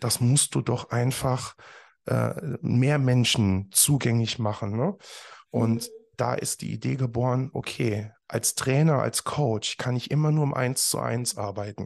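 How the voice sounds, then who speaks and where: Against a quiet background, a man talks at a fairly slow pace with a medium pitch and ordinary pitch variation. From Germany, Eifel near Bitburg/Trier. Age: 30s. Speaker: professional speaker. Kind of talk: interview. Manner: frequent fillers, hesitant.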